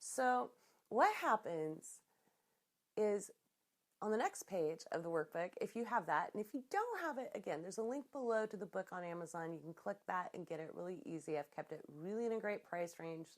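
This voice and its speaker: A woman in an ordinary speaking voice, medium in pitch, at a moderate pace with lively intonation. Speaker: business coach. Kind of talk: tutorial; guided relaxation. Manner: casual, conversational.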